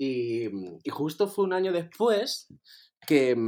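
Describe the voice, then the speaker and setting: This man's pitch swings very widely, and the recording is very clean with a silent background. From Spain, Andalusia (Torremolinos). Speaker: drag performer. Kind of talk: casual chat.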